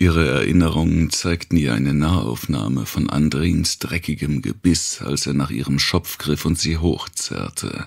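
A man with vocal fry and an extremely low pitch speaks at a fairly slow pace with few pauses and lively intonation.

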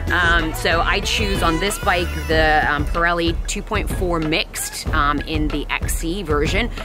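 The recording is dry with no echo, and clear music sounds behind it. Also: woman. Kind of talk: casual bike check talk. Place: forest.

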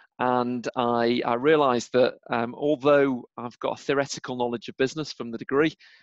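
Against a quiet background, a man speaks at a moderate pace in a monotone, flat intonation, with a dry sound and no echo. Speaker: podcast guest. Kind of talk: interview answer. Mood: cheerful, laughing at times. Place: home room. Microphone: video call.

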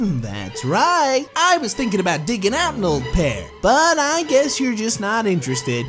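Clear music plays behind a put-on character voice at a fairly high pitch that runs on with hardly any pauses. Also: moderate pace. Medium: comedy sketch. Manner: cocky, teasing.

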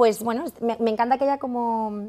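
Her fairly high pitch comes with a dark, mellow tone as the woman speaks at a moderate pace in monotone, flat intonation. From Madrid, Spain; Spain. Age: 30s. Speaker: fashion entrepreneur; masterclass teacher. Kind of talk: masterclass talk. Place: studio.

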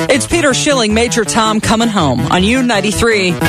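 A woman talks at a fairly quick pace. Clear music plays in the background, and the sound is dry with no echo. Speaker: radio DJ. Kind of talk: radio DJ air check. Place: studio. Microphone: studio mic.

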